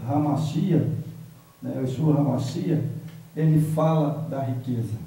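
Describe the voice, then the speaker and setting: A man talks in a fairly high voice. Noticeable background noise and audible room echo fill the recording. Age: 70s. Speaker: bible study participant. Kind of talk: bible study discussion.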